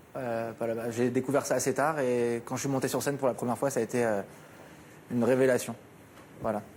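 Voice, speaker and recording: A man talks at a fairly quick pace in a medium pitch with monotone, flat intonation. Long, frequent pauses break up his speech. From France, Paris. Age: 20s. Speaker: actor. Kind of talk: TV talk show interview. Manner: hesitant, many fillers.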